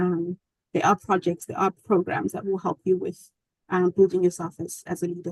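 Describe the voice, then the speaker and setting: At a fairly quick pace, a woman speaks at a medium pitch in a dry, close sound with no echo. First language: not English. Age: 20s. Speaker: journalist and human rights activist. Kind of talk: webinar Q&A answers. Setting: video webinar. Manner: halting, many fillers.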